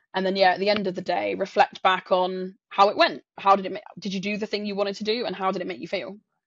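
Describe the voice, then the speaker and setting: Delivered in a southern English accent, the speech moves at a fairly quick pace. Pitch varies in an ordinary way. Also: woman. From south coast of England. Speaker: sales professional and coach. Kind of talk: interview.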